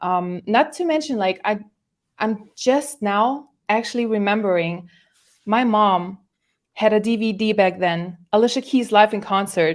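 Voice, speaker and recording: Lively in intonation, a woman with a German accent speaks slowly-ish, at a fairly slow pace, in a fairly high pitch. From Germany. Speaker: musical artist. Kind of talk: podcast interview. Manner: halting.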